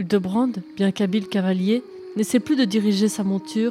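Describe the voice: The speaker does plain reading aloud. Nothing else stands out.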